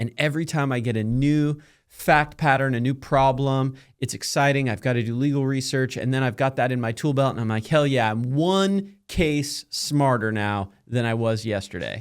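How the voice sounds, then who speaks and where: On a very clean recording with a silent background, a man with a normal speaking voice talks at a medium pitch and moderate pace, with ordinary pitch variation. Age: 30s. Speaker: podcast host and lawyer. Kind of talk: casual interview.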